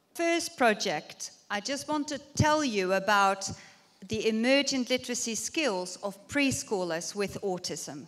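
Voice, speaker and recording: A woman talks at a fairly slow pace in a fairly high voice. Her pitch swings very widely. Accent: Dutch. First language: Dutch. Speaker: university researcher. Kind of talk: conference lecture.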